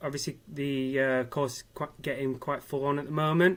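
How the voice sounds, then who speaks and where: This man has a northern English accent. He speaks at a moderate pace. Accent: northern English, noticeable. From Manchester, northern England. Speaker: mature university student. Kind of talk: interview. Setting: live online event. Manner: hesitant, many fillers.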